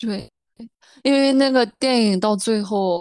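A plain, everyday voice: a woman speaks fairly slowly at a fairly high pitch with ordinary pitch variation. The sound is dry and close, with no echo. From rural China. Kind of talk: casual chat.

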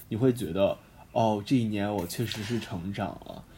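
Man with a dark, mellow, somewhat breathy tone at a moderate pace, in a very clean recording with a silent background. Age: 20s. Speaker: university student podcast host. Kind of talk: casual chat. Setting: campus broadcast room.

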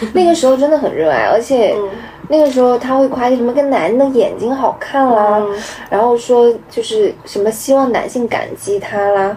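A high-pitched woman's voice at a moderate pace, with lively intonation and noticeable background noise. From Meizhou, Guangdong (Hakka region). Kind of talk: casual chat.

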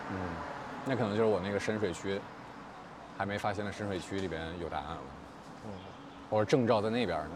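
Very fast speech from a man with a fairly low pitch, ordinary pitch variation, long, frequent pauses and audible room echo. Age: 30s. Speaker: podcast host. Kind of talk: casual chat. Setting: outdoors.

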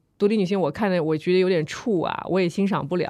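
A woman with an unremarkable speaking voice, fairly low pitch, ordinary pitch variation and a fairly quick pace. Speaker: podcast host. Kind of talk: casual chat.

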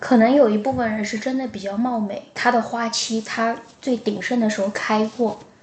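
A woman with fairly high pitch and monotone, flat intonation at a moderate pace, amid noticeable background noise. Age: 30s. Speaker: podcast co-host. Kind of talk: casual chat.

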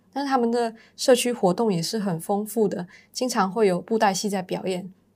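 The recording is very clean, with a silent background. A plain, everyday voice moves at a moderate pace with ordinary pitch variation. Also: woman. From Malaysia, Penang. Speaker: university student and intern. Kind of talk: casual interview.

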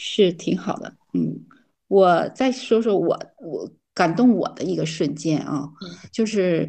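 A woman's fairly low voice with vocal fry, ordinary pitch variation and a very slow pace. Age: 60s. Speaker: retiree. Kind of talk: casual chat. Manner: halting.

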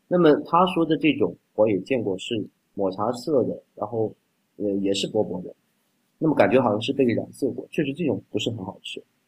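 The voice is somewhat breathy, with lively intonation and a fairly quick pace. The sound is dry and close, with no echo. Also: man, medium pitch for a man. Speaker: doctor and congee enthusiast. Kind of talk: casual chat.

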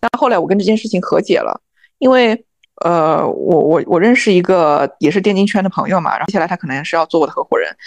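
Against a quiet background, the words come at a very fast pace. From southern China, small town. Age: young. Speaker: esports coach and team owner. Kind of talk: interview.

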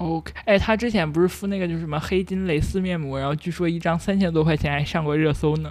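Hardly any pauses break up the speech, which moves at a very fast pace. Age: 30s. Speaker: podcast co-host. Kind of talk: casual chat.

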